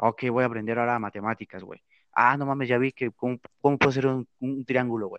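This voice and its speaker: This is a normal speaking voice from a man at medium pitch and a fairly quick pace. The sound is dry and close with no echo, and the background is quiet. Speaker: podcast co-host. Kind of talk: casual chat.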